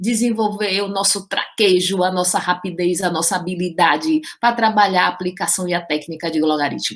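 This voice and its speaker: A woman's animated, fairly slow speech at medium pitch, with lively intonation. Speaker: math teacher. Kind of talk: lecture.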